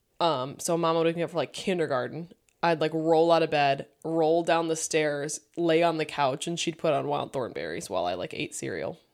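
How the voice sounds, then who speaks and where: This woman's voice sits at a very deep, low pitch and carries vocal fry. She talks at a moderate pace with fairly even intonation and hardly any pauses. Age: 30s. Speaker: podcast co-host. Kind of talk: casual chat.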